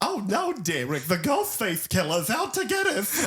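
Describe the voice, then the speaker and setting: Faint music sits in the background of this put-on character voice. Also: man, high pitch for a man, moderate pace. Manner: exaggerated, theatrical.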